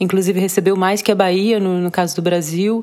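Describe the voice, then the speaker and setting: A woman speaks with fairly even intonation against noticeable background noise. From Rio de Janeiro, Brazil. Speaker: visual artist. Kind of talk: interview. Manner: halting.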